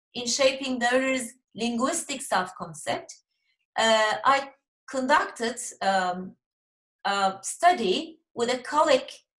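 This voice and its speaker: The speech moves at a very slow pace with long, frequent pauses. Its intonation is lively, and the room echo is audible. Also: woman, high pitch for a woman. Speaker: professor. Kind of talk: lecture.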